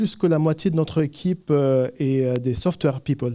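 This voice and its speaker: Man with a slight Lebanese accent, a fairly high pitch, a dark, mellow tone and a fairly slow pace. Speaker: tech startup founder. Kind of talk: conference talk. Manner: hesitant, many fillers.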